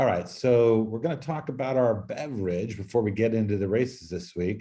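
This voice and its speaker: This man talks fairly quickly. The rise and fall of his pitch is ordinary. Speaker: podcast host. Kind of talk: casual chat.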